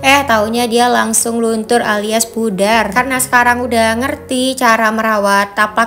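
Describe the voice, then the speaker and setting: Noticeable background noise sits behind this woman's voice. She talks at a moderate pace with monotone, flat intonation. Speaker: vlogger, housewife. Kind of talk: casual vlog narration. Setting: at home, then supermarket. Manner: chatty, friendly.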